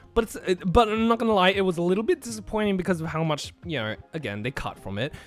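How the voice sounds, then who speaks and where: Music plays in the background behind a man. His high pitch makes very wide swings. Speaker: anime streamer. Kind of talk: live stream commentary. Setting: live stream. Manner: animated, halting.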